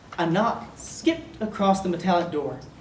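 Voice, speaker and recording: With noticeable background noise and audible room echo, a woman with an American accent talks at a moderate pace and a fairly low pitch. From North Carolina. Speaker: poet. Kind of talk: poetry reading.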